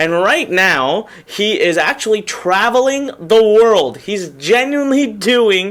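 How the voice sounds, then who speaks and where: The speaker sounds animated, with lively intonation and noticeable background noise. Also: man. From Indian descent. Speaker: webinar host and online marketer. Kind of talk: live webinar interview. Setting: live online webinar.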